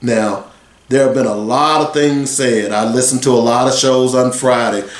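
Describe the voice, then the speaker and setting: There is noticeable background noise and audible room echo. A man talks at a moderate pace with a medium pitch. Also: fairly even intonation, very even loudness. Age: 60s. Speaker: sports radio host. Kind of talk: radio talk show monologue.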